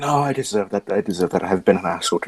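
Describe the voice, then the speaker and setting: Using a gruff, put-on character voice, a man talks at a very fast pace and a fairly low pitch with lively intonation, the sound dry and close with no echo. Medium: actual play. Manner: gruff, swearing.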